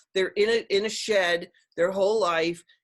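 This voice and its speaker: Fairly slow speech from a woman at a medium pitch, its pitch varying in an ordinary way. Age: 60s. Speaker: educator and plant-based diet advocate. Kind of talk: interview. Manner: animated.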